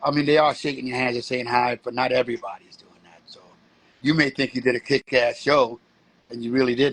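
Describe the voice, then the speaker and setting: With a New York accent, a man speaks at a fairly quick pace at medium pitch in a monotone, flat intonation, his loudness swinging widely in a dry, close sound with no echo. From US, New York (Bronx). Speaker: street performer and breakdancer. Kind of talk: interview.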